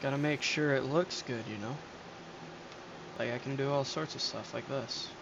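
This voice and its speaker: A man speaks at a moderate pace with long, frequent pauses. His tone is relaxed, his pitch fairly high, and his intonation fairly even. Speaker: gaming streamer. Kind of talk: casual gameplay commentary. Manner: hesitant, many fillers.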